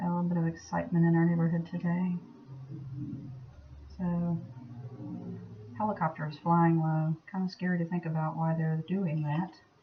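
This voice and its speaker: With noticeable background noise, a woman speaks at a moderate pace in a fairly low pitch, her intonation monotone and flat, with long, frequent pauses. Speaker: soapmaking video maker. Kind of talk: tutorial. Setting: at home. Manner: casual, chatty; louder than last time.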